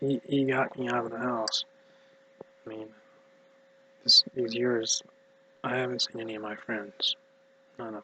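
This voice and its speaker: A man mumbles at a fairly slow pace, with long, frequent pauses and fairly even intonation. The sound is dry and close with no echo. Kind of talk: casual talk to camera. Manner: mumbled.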